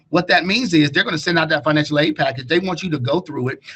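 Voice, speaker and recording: A man with a fairly high pitch talks at a very fast pace. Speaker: college counselor. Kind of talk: webinar presentation.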